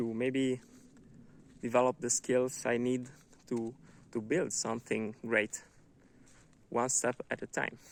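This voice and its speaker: With a non-native accent, a man at medium pitch speaks at a fairly slow pace in monotone, flat intonation, with long, frequent pauses and a dry, close sound with no echo. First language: not English. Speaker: book reviewer, vlogger. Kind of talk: book review monologue. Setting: outdoors in a wood. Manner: halting, many fillers and repetitions.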